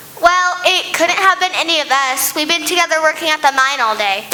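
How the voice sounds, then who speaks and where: A high-pitched put-on character voice at a fairly quick pace, with clear background noise. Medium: stage play.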